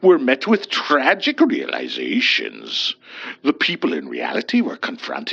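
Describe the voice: Plain reading aloud, nothing more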